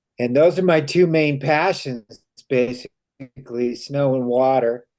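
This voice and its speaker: An American accent marks this man's unremarkable speaking voice, medium in pitch with ordinary pitch variation and a fairly slow pace. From Idaho. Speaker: river guide and ski instructor. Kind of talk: self-introduction.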